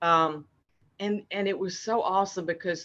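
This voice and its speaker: A woman's medium-pitched voice with a bright, sharp tone and a moderate pace. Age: 70s. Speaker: healing client giving a testimonial. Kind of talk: testimony. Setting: video call. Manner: halting.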